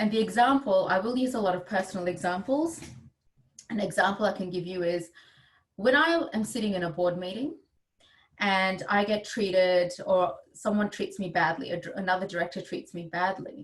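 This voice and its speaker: Her pace is moderate and her pitch medium. The woman sounds somewhat breathy, with ordinary pitch variation. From India. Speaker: gender equity advisor and board director. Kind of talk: webinar talk. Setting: video call.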